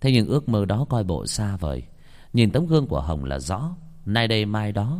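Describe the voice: What you hear is plain reading aloud.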